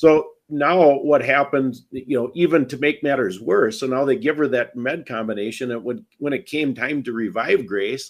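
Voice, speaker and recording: A man speaks at a fairly slow pace and a fairly high pitch with ordinary pitch variation, on a very clean recording with a silent background. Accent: American. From Wisconsin. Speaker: bereaved parent and advocate. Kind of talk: interview testimony.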